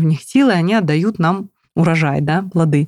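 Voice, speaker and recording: A woman with a plain, everyday voice speaks at a fairly low pitch with ordinary pitch variation, in a dry, close sound with no echo. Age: 30s. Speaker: plant blogger and biologist. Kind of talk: casual interview.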